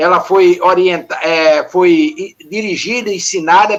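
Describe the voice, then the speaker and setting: A man talks at a fairly slow pace. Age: 70s. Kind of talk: panel discussion.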